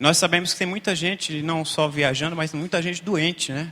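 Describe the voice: Using a hoarse, put-on character voice, a man speaks at a moderate pace with a high pitch and fairly even intonation.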